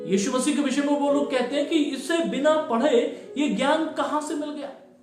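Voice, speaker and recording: A man's extremely high-pitched voice at a moderate pace, with fairly even intonation and music in the background. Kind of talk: Hindi Bible sermon delivered to a congregation. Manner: earnest, preaching style.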